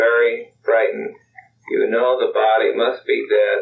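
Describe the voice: The text is read aloud plainly, with a quiet background behind it.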